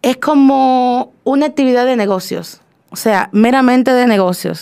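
In an unremarkable speaking voice, a woman speaks at a fairly slow pace with a fairly high pitch and ordinary pitch variation. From Dominican Republic. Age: young. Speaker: poet. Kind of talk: interview. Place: studio.

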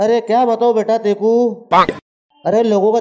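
A man with a high pitch speaks at a fairly slow pace. The background is quiet. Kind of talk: scripted comedic dialogue. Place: home room.

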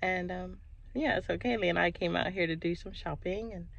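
A woman speaks at a moderate pace in a dry sound with no echo. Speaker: mom vlogger. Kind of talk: casual vlog chat. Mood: cheerful, relaxed. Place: car. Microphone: phone near.

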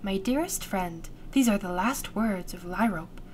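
A woman puts on a creaky character voice at a medium pitch. She keeps a moderate pace against clear background noise.

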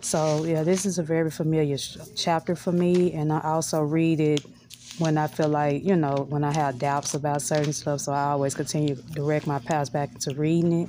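A woman's very deep, low voice at a fairly quick pace, monotone and flat in intonation, with light background noise. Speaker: lifestyle vlogger. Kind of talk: casual vlog chat. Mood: calm, reflective. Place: home room. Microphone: phone near.

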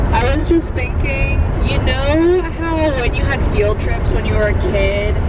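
Loud background noise surrounds a woman's voice. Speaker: van vlogger driving. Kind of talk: casual vlog chat. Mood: playful, joking. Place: car. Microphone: handheld.

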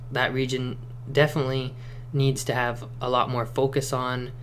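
A man speaks at a moderate pace with light background noise. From Cossack family, Eastern Europe. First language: non-English. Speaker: security industry worker. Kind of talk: casual talk to camera. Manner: hesitant, many fillers. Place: home room. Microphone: camera far.

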